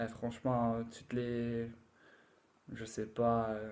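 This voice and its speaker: A fairly slow pace from a man with a medium-pitched voice. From England. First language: English (speaking French). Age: 20s. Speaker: language learner. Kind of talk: casual talk to camera. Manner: halting, many fillers.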